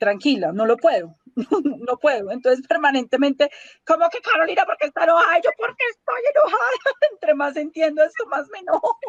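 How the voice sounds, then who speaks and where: A high-pitched woman with very wide pitch swings, fairly quick pace, dry, close sound with no echo. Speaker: health policy activist. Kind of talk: interview. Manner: raised voice; emotional, indignant.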